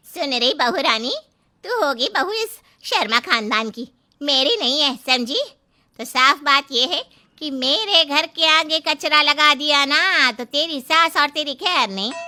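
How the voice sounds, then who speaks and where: Lively intonation runs through this put-on character voice. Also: woman, high pitch for a woman, moderate pace. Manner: shouting angrily, scolding.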